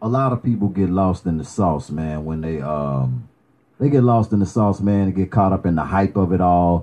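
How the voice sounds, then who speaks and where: Dark and mellow in tone, the man's voice moves with lively intonation. He is the only speaker. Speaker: podcast host. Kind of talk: casual interview. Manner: laid-back, hype.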